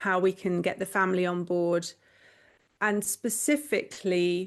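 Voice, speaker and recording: In a quiet background, a woman with a British accent speaks at a moderate pace. Her medium pitch shows ordinary variation. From England. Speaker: professional organizer. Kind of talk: podcast interview.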